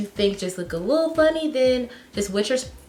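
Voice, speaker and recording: Over noticeable background noise, the speech moves at a fairly quick pace with lively intonation. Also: woman. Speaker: beauty youtuber. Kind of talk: makeup tutorial. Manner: casual, chatty.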